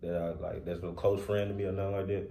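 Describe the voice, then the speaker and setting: Very fast, somewhat breathy speech with audible room echo. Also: man. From Louisiana, small town. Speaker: podcast co-host. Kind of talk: casual chat. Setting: podcast recorded on camera.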